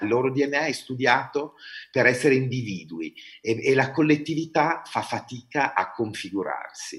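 At a moderate pace, the speaker's voice shows vocal fry. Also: man, medium pitch for a man, lively intonation. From Italy, Bergamo. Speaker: opera artistic director and director. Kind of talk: interview. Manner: hesitant, many fillers.

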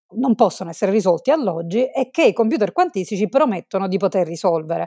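A woman talks in an unremarkable speaking voice at a medium pitch. Her intonation is lively. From Sicily, Italy. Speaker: physicist, research group leader. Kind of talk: interview.

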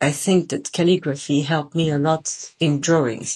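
This is a woman speaking. Her intonation stays fairly even. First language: Japanese and Italian.

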